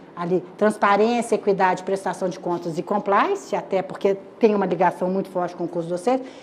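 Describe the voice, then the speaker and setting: Over noticeable background noise, a woman talks at a fairly quick pace and a medium pitch. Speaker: lecturer. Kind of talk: lecture. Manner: fast; animated.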